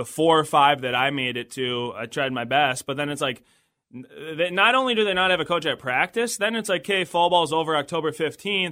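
A man talks with an American accent at a fairly quick pace. It is an ordinary speaking voice with lively intonation. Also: fairly high pitch for a man. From southern Minnesota. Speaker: college baseball head coach. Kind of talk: casual interview. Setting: studio.

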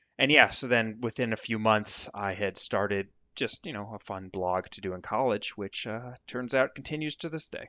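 In a normal speaking voice, the speech runs at a moderate pace with hardly any pauses, ordinary pitch variation and big swings in loudness. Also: man, medium pitch for a man. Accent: American. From Vermont. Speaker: music blogger and author. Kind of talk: interview.

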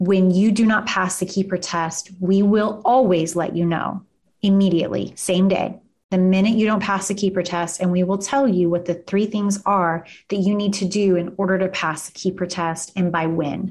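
With a slight Kansas accent, a woman speaks at medium pitch and very even loudness against a quiet background. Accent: slight Kansas drawl. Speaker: immigration lawyer and law firm owner. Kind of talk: casual interview chat. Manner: animated.

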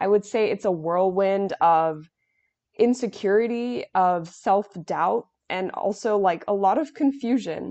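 Her lively intonation carrying an American accent, a woman speaks in an ordinary speaking voice at a medium pitch and a fairly slow pace. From US Northeast, New York City. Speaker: nonprofit junior board member, college student. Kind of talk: interview, conversational.

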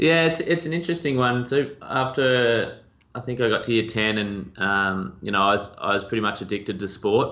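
With an Australian accent, a man at medium pitch talks at a moderate pace with lively intonation. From rural Victoria, Australia. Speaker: agency owner. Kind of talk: podcast interview.

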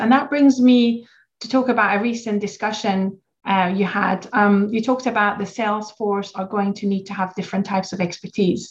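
At a moderate pace, a woman with medium pitch speaks in a somewhat breathy voice. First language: not English. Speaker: podcast host, founder of pharma training company. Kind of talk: interview conversation.

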